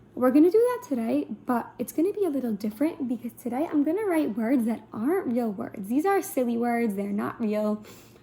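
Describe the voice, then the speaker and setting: Noticeable background noise sits behind the speaker. The delivery moves at a moderate pace with very wide pitch swings. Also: woman. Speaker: teacher. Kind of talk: online lesson for young children.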